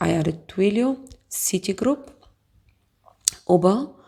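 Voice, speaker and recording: The speaker talks at a fairly slow pace with a Bulgarian accent. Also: woman. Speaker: investing YouTuber. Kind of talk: casual tutorial. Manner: halting, many fillers.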